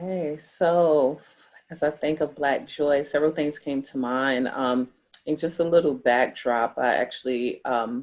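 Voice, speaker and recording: Pitch shifts in an ordinary way while the words come at a fairly slow pace. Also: woman, very deep, low pitch for a woman. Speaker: social worker and pastor. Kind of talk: panel discussion. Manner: loud.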